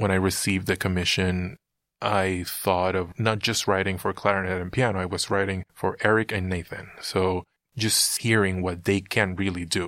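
A man speaks with a Spanish accent in a very deep, low pitch. His intonation is monotone and flat, and the recording is very clean with a silent background. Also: moderate pace. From Puerto Rico. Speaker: composer. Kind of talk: interview.

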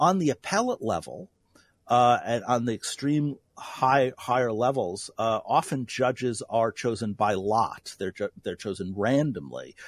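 A man with a normal speaking voice talks at medium pitch and a moderate pace with lively intonation, the sound dry and close with no echo on a very clean recording with a silent background. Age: 50s. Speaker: philosophy professor. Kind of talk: radio interview.

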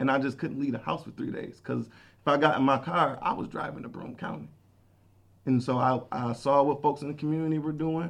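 Fairly high-pitched, a man talks at a fairly quick pace with fairly even intonation. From Buffalo, New York. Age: 30s. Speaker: youth worker. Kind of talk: casual chat.

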